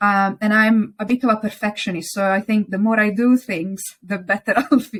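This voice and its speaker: Heard on a very clean recording with a silent background, a woman with an Italian accent speaks at a moderate pace with fairly even intonation. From Italy. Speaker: interior designer. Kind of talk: interview. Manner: hesitant, with some stumbles.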